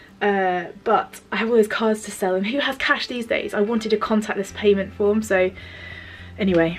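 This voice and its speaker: A woman with an English accent at a moderate pace, fairly even intonation, and noticeable background noise. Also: medium pitch for a woman. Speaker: vlogger and stationery business owner. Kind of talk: casual vlog. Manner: halting, many fillers.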